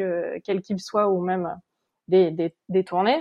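A woman's ordinary speaking voice, medium in pitch, with fairly even intonation and a moderate pace. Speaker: production administrator and stage manager. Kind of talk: interview. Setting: remote recording.

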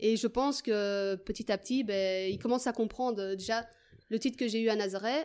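A woman has an ordinary speaking voice with a fairly high pitch. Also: fairly even intonation, moderate pace. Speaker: footballer and PE teacher. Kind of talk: interview.

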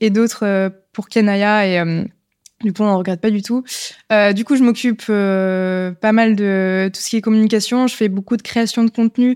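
In a very clean recording with a silent background and a dry, close sound with no echo, a woman of medium pitch speaks fairly slowly with fairly even intonation. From France, Lyon. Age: 20s. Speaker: entrepreneur. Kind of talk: casual interview. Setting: live recording in person. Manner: hesitant, many fillers.

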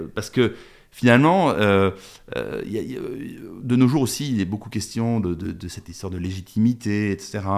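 A man's fairly low voice with ordinary pitch variation, big swings in loudness and long, frequent pauses, in a very clean recording with a silent background. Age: 50s. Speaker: documentary filmmaker. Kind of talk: interview. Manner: halting.

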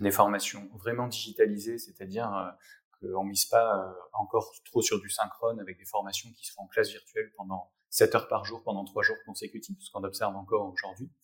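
Here a man talks at a moderate pace. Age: 30s. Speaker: HR director and digital learning expert. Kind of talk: interview.

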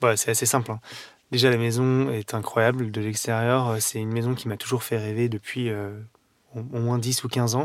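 A man talks at a medium pitch and a moderate pace, his intonation monotone and flat. The recording is very clean, with a silent background. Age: 30s. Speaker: pastry chef. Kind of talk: interview. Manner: hesitant, with fillers.

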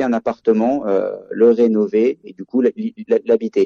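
A man's voice, recorded dry and close with no echo. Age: 30s. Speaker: real estate agent and investor. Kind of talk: interview.

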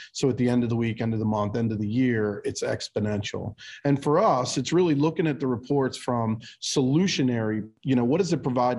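A man with an American accent talks fairly quickly in an unremarkable speaking voice at a medium pitch. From Baltimore, US. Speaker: business coaching executive, former auto mechanic. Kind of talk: podcast interview.

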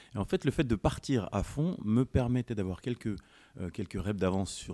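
A man talks at a moderate pace with a dark, mellow tone. The sound is dry and close with no echo, on a very clean recording with a silent background. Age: 40s. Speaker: police officer and former decathlete. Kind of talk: casual chat.

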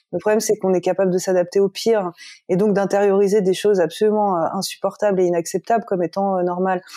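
A woman speaks at a very fast pace, mid-pitched, in a dark, mellow tone and a flat monotone. The sound is dry and close with no echo, on a very clean recording with a silent background. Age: 30s. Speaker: novelist. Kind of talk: interview. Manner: hesitant, many fillers.

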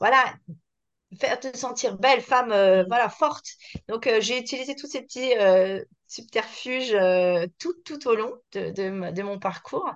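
Against a quiet background, a high-pitched woman talks at a fairly slow pace with long, frequent pauses, ordinary pitch variation and big swings in loudness. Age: 40s. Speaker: entrepreneur, concept store founder. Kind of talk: casual chat. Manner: halting, many hesitations.

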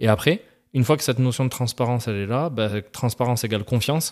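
Against a silent background in a very clean recording, a man with a medium-pitched voice talks at a very fast pace, the sound dry and close with no echo. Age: 30s. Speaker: ex-banker and real estate investor. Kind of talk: podcast interview. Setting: studio.

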